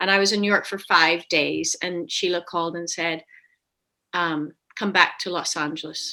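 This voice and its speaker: A woman in a Belfast accent speaks at a moderate pace, her tone bright and sharp, her pitch varying in an ordinary way. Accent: Belfast, Northern Irish. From west Belfast, Northern Ireland. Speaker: actress. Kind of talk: interview answer.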